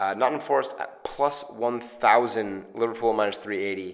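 Moderate pace from a male speaker, backed by noticeable background noise. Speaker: podcast host. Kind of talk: casual banter about football and betting picks. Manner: casual, joking, laughs often.

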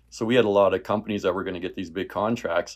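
A man with a Canadian prairie accent and fairly even intonation, on a very clean recording with a silent background. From rural Saskatchewan, Canada. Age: 50s. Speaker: realtor and former farmer. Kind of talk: casual interview.

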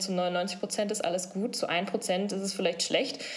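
The delivery is monotone and flat at a fairly quick pace. Noticeable background noise is present. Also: woman. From Sauerland, western Germany. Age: 20s. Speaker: breast cancer patient. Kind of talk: interview.

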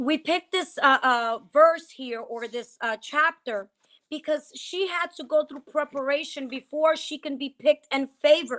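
This woman has a high, bright, sharp voice, raised and projected with an animated tone. She speaks at a fairly slow pace with an American accent, on a very clean recording with a silent background. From New Jersey. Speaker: pastor and podcast host. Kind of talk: casual chat with faith teaching. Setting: livestream on Instagram.

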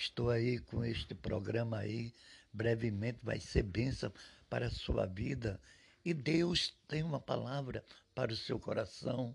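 There is vocal fry in this man's medium-pitched voice as he speaks at a fairly slow pace with ordinary pitch variation. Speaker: preacher. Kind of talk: sermon-like devotional address to podcast listeners. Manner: warm, encouraging, pastoral; earnest, reassuring, reading scripture aloud.

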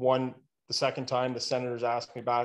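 A man speaks in a plain, everyday voice at medium pitch. The recording is very clean, with a silent background. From Ottawa, Canada. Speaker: professional crowd entertainer. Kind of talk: casual interview.

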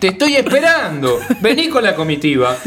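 A man speaks at a moderate pace in a high voice, his pitch swinging very widely, with noticeable background noise behind him. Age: 40s. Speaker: podcast guest. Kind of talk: casual chat. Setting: studio.

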